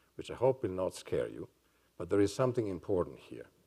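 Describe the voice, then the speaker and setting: A man speaks against a quiet background. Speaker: neuroscientist and psychiatrist. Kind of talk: lecture. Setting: stage with audience. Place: hall.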